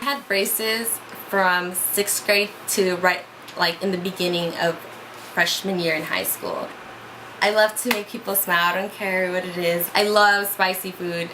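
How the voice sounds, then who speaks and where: A woman's medium-pitched voice with fairly even intonation, audible room echo and noticeable background noise. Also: moderate pace. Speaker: vlogger. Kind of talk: casual chat. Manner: loud.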